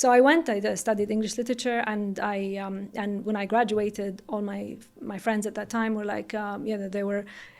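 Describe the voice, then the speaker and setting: A woman with a Saudi accent speaks with hardly any pauses and fairly even intonation. The recording is very clean, with a silent background. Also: medium pitch for a woman, fairly quick pace. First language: Arabic. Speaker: entrepreneur, company CEO. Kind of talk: interview. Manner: some hesitations and restarts.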